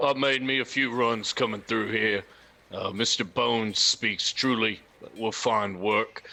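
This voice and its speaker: Speaking at a fairly slow pace, a man uses a put-on character voice pitched at medium. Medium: actual play. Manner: gruff, terse.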